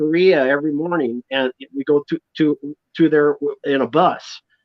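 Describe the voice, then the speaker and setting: With a fairly high pitch, a man talks at a moderate speed. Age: 60s. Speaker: musician. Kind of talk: interview. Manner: halting.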